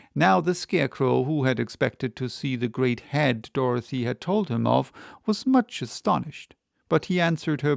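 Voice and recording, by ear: A natural-voiced read-aloud with lively intonation over a quiet background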